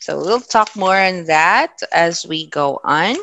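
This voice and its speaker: A woman speaks very slowly with a Philippine accent. Her pitch sits in the middle range, and her intonation is lively. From Philippines, Ilocano-speaking region. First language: Ilocano. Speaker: teacher. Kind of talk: lecture. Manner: measured, with filler hesitations.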